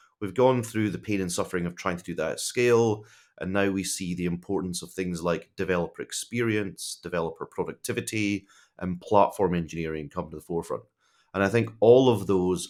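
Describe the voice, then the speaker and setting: On a very clean recording with a silent background, a man talks at a moderate pace with a fairly low pitch and ordinary pitch variation. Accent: Scottish. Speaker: tech executive. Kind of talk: podcast interview.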